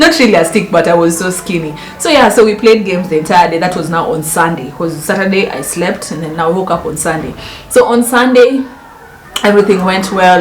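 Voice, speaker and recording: Over noticeable background noise and audible room echo, a woman of medium pitch talks at a fairly quick pace with ordinary pitch variation. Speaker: lifestyle vlogger. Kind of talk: storytime vlog. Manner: animated.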